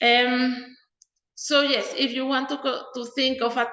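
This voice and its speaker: Audible room echo around a high-pitched woman's voice. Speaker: mathematician. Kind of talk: lecture.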